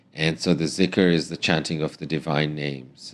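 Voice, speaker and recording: Very deep and low, a man's voice carries vocal fry at a moderate pace. His intonation is monotone and flat. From East Africa, family of Indian origin. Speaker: refugee lawyer and human rights activist. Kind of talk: interview.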